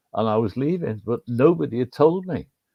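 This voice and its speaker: Speaking at a moderate pace with a Liverpool accent, a man uses a medium pitch with very wide pitch swings. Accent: Liverpool (Scouse). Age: 70s. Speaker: stadium announcer. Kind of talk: casual chat.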